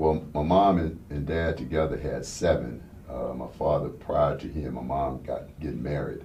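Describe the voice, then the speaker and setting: A man speaks at a moderate pace, and audible room echo can be heard. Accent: American. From Houston, Texas, then Los Angeles from 13. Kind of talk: interview. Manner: halting, many fillers.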